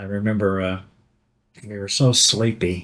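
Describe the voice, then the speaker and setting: In a Western Kentucky accent, a man speaks with a fairly low pitch. His intonation is monotone and flat. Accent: Western Kentucky Southern. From Livingston County, Kentucky. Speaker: Vietnam war veteran. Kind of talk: oral history interview answer.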